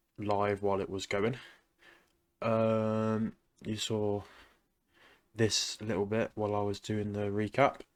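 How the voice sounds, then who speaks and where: A man with an English accent, fairly low pitch and flat, monotone intonation, at a very slow pace with long, frequent pauses, on a very clean recording with a silent background. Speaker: day trader. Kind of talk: trading recap. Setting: at home, late at night. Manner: quiet.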